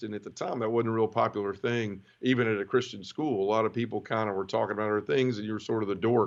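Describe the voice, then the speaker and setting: This man talks very fast at a medium pitch. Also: quiet background. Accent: Memphis. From US South, Memphis, Tennessee. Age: 30s. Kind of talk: testimony. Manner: casual, conversational.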